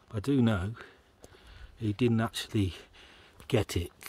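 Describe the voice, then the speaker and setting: At a fairly slow pace, a man speaks in a fairly low pitch, somewhat breathy, with a dry sound and no echo. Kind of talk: casual vlog commentary. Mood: relaxed, admiring. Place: forest. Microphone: phone near.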